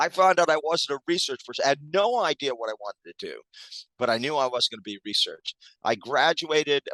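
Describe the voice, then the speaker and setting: Fairly quick and with lively intonation, a man with an American accent talks at a fairly high pitch in a bright, sharp tone, his loudness swinging widely in a dry, close sound with no echo. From Maine, US. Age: 60s. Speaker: public speaker and former club manager. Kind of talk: podcast interview. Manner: halting, many fillers.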